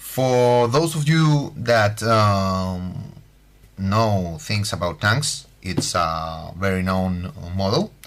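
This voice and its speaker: Amid audible room echo, a man with a slight Spanish accent speaks very slowly at a fairly low pitch with lively intonation. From Spain. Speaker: scale model building tutor. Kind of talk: tutorial. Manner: halting, many fillers.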